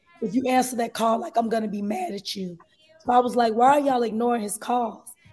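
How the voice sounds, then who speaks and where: With music in the background, a woman talks at a moderate pace in a fairly high pitch, using ordinary pitch variation. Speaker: advice caller. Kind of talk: phone-in advice request.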